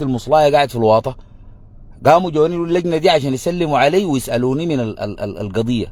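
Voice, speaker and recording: Animated in tone, a man with a Sudanese accent speaks at a moderate pace in a fairly high pitch with ordinary pitch variation. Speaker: political commentator. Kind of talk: political monologue.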